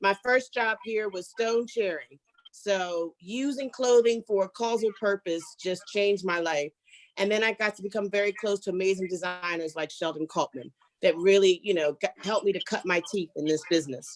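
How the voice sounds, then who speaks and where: A woman with an American accent speaks in an unremarkable speaking voice at medium pitch and a moderate pace, with ordinary pitch variation. The sound is dry and close, with no echo. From US, Philadelphia. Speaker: fashion consultant. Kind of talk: self-introduction on online panel.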